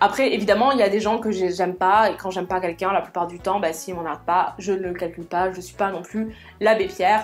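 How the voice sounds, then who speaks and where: Over faint music in the background, a woman speaks at a fairly quick pace with fairly even intonation and big swings in loudness. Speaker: social sciences student. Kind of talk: casual talk to camera. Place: home room.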